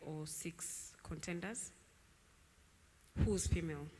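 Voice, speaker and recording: Audible room echo surrounds a woman speaking at a very slow pace. Her intonation stays fairly even. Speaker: tech founder. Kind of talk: panel discussion. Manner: loud.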